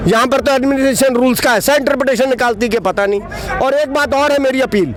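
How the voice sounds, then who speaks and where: Extremely high in pitch for a man, this male voice shows ordinary pitch variation and very even loudness. Crowd noise sits in the background. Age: 60s. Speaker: property owner, protester. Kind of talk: street interview, complaint.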